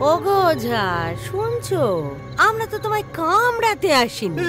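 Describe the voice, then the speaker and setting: A put-on character voice, female-sounding, at a fairly slow pace, with clear music in the background. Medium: short film. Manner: teasing, folksy.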